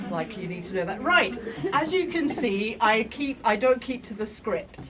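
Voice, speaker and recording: A loud woman at a moderate pace with very wide pitch swings, amid audible room echo and noticeable background noise. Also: fairly high pitch for a woman. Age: middle-aged. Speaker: mental health service user and activist. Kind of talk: talk to an audience. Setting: lecture room with audience. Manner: informal, digressive. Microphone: no microphone, speaking unamplified.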